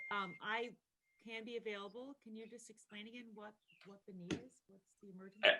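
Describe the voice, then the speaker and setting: A woman with a fairly high pitch and a bright, sharp tone talks at a fairly quick pace in a monotone, flat intonation, with big swings in loudness. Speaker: board member. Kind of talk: public meeting. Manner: soft-spoken. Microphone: too quiet.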